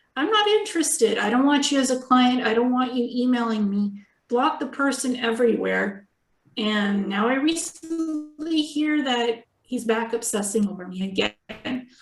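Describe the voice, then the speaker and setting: A woman speaks at a high pitch with lively intonation. Music plays behind her. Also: moderate pace. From Ukraine. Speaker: psychic and energy healer. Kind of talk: casual chat.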